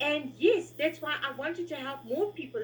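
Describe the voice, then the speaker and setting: With lively intonation and a high pitch, a woman speaks at a fairly slow pace. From South Africa. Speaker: patient support group member. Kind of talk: casual chat. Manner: halting.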